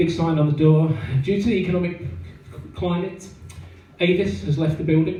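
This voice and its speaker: A man with a southern English accent speaks at a moderate pace in a high voice, his intonation fairly even, with long, frequent pauses, audible room echo and noticeable background noise. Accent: southern English, noticeable in Yorkshire. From southeast England, Kent. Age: 30s. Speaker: stand-up comedian. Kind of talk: stand-up. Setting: stage with audience. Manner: halting, many fillers.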